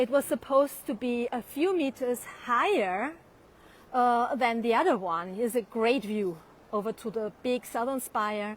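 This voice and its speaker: A woman with a German accent speaks at a fairly slow pace in a high pitch with lively intonation. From Austria, Vienna. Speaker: tour guide. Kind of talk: live online walking tour. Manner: hesitant, many fillers.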